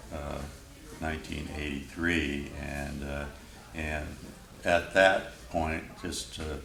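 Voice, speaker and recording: Noticeable background noise surrounds a man whose voice is very deep and low. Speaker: railroad museum restoration manager. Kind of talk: oral history interview answer. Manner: casual, hesitant with fillers.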